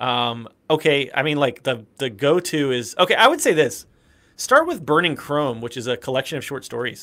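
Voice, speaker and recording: Speaking at a moderate pace in an American accent, a man has a fairly high pitch, ordinary pitch variation and a bright, sharp tone. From US South, South Carolina. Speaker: teacher and streamer. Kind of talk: casual chat. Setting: livestream.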